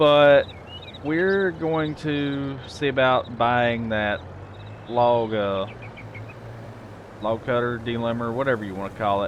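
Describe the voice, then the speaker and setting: Over noticeable background noise, a man at medium pitch speaks very slowly with ordinary pitch variation and long, frequent pauses. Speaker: gaming video creator. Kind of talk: casual gameplay commentary.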